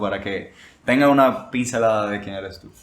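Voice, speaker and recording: The speaker is a man with medium pitch. He talks at a moderate pace. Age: young. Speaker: podcast host. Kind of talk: casual chat.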